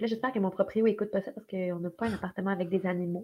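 A woman talks at a very fast pace, her pitch rising and falling in an ordinary way. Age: 20s. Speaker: actress. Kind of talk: casual chat.

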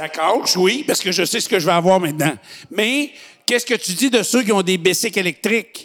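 Against noticeable background noise, a man with a high voice speaks with lively intonation. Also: fairly quick pace. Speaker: podcast host. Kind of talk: casual chat.

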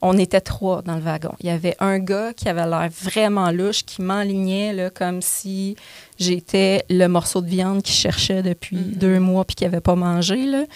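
The pace is moderate. The sound is dry and close with no echo, in a very clean recording with a silent background. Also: woman. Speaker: comedian and actress. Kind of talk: casual chat. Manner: animated.

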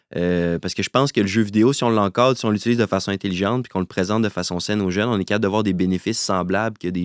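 A man in a Quebec accent, very fast and fairly low-pitched with fairly even intonation, in a dry, close sound with no echo on a very clean recording against a silent background. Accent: Québécois French. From Quebec City. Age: 30s. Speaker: entrepreneur. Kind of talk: interview.

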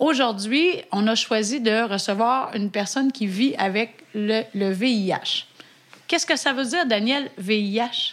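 A woman with a Quebec accent speaks at a very slow pace and a fairly high pitch, with ordinary pitch variation. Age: 40s. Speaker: physician and podcast co-host. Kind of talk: casual chat.

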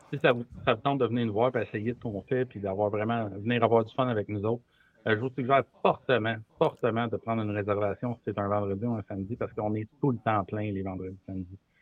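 A man with a fairly low voice talks at a very fast pace with fairly even intonation. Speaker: brewery and restaurant owner. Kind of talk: casual chat.

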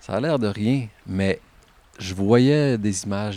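The tone is calm, with ordinary pitch variation. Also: man. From Quebec, Gaspésie (Caplan). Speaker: military veteran. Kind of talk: casual conversation. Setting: outdoors, standing in a stream.

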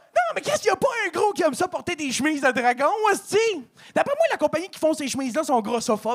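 Very fast speech with lively intonation over noticeable background noise. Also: man. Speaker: comedian. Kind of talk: stand-up.

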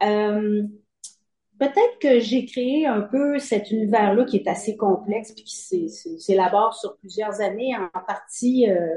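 A woman's plain, everyday voice at a fairly high pitch and a fairly slow pace, with ordinary pitch variation. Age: 50s. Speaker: novelist. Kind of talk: interview.

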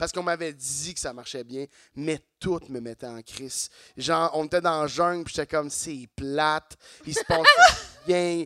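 In a normal speaking voice, fairly high for a man, he talks at a fairly slow pace with fairly even intonation and big swings in loudness, the sound dry and close with no echo. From Quebec, Saint-Eustache. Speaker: comedian. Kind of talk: casual chat. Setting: stage with audience.

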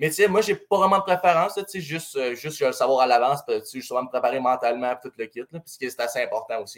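A man with a Saguenay Quebec accent talks very fast in a fairly high voice, with lively intonation, big swings in loudness and hardly any pauses. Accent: Quebec French, Saguenay regional. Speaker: junior hockey goalie. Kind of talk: casual interview.

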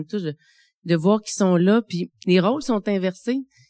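On a very clean recording with a silent background and a dry, close sound with no echo, a woman speaks at a moderate pace with a medium pitch and ordinary pitch variation. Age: 40s. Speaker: midwife living with early-onset Alzheimer's. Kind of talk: testimony. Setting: stage with audience. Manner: halting.

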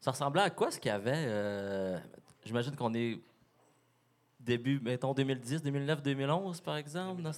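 A man talks at a medium pitch and a fairly slow pace. He leaves long, frequent pauses. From Quebec, Lac-Saint-Jean region. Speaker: podcast co-host. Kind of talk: interview.

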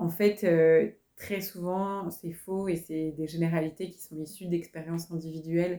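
Fairly low for a woman, her voice has a dark, mellow tone and a monotone, flat intonation at a fairly slow pace. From France. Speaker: career counsellor. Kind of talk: interview conversation.

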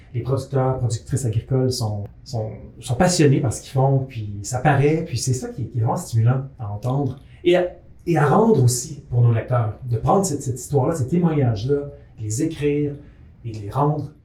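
Amid noticeable background noise, a man of medium pitch speaks at a moderate pace with ordinary pitch variation and big swings in loudness. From urban Quebec. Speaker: agronomist and editor-in-chief. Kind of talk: casual chat. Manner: halting, many repetitions. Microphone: room echo.

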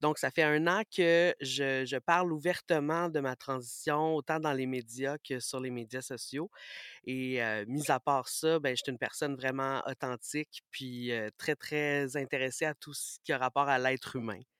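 Recorded very cleanly against a silent background, a man talks at a fairly slow pace with fairly even intonation and fairly high pitch, the sound dry and close with no echo. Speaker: radio host. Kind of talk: interview testimony.

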